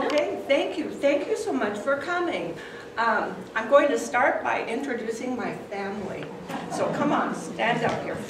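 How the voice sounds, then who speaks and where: A woman with a high pitch speaks in an American accent. There is audible room echo and noticeable background noise. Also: lively intonation, moderate pace. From Clarkdale, Arizona, USA. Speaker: retired teacher. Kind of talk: oral history presentation. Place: hall. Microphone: camera far.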